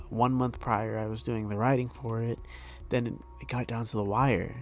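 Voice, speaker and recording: A man speaks at a medium pitch with music in the background. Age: 20s. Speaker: webcomic artist. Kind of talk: casual talk over drawing video. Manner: halting, many fillers.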